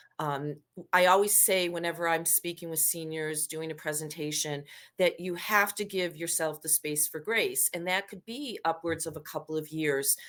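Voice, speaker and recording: A woman's normal speaking voice, fairly low in pitch, with ordinary pitch variation, a moderate pace and a very clean recording against a silent background. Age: 60s. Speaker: professional organizer for seniors downsizing. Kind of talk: podcast interview. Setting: podcast recording.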